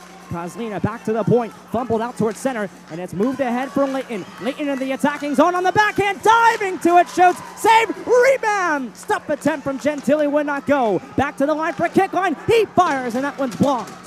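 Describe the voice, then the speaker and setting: A man speaks at an extremely high pitch with very wide swings, energetic and fairly quick. He hardly pauses, and music plays in the background. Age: 20s. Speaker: hockey play-by-play broadcaster. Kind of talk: live commentary. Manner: fast.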